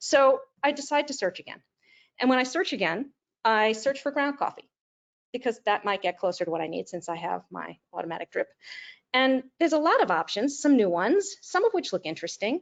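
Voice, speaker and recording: This woman's voice sits at a high pitch and moves in very wide swings. Her pace is fairly quick. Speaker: webinar presenter, business executive. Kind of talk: webinar presentation. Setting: online webinar. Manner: fast.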